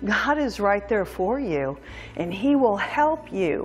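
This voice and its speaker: A woman's very slow speech over faint background music. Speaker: fitness instructor. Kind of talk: workout instruction with faith devotional talk. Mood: warm, encouraging. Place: home room.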